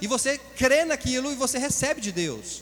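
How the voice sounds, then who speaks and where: A man talks over noticeable background noise. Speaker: pastor. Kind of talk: sermon. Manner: fast.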